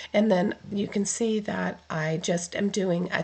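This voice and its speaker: A woman speaks at a very slow pace in a medium pitch, somewhat breathy. Her intonation is flat and monotone. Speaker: card-making crafter. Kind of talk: tutorial voiceover. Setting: recorded voiceover.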